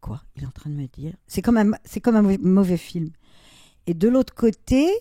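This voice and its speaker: At a moderate pace, a woman with a dark, mellow tone and medium pitch speaks with very wide pitch swings and big swings in loudness. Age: 70s. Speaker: artist and YouTuber, retired model. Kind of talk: interview conversation.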